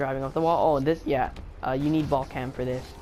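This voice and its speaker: Mumbled speech with music in the background. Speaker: gaming tutorial maker. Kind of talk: casual gameplay tutorial commentary. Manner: mumbling, hesitant with many fillers.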